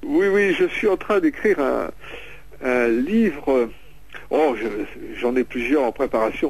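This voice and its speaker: Long pauses come often in this speech. Its pace is very slow. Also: man, very even loudness. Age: 60s. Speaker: author and paranormal researcher. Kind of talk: radio interview. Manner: halting.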